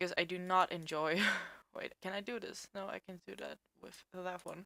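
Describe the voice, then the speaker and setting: Here a woman speaks at a fairly low pitch with a bright, sharp tone and fairly even intonation. Her fairly slow delivery sounds dry and close, with no echo. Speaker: digital artist. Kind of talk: casual talk to camera, drawing tutorial. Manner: casual, hesitant.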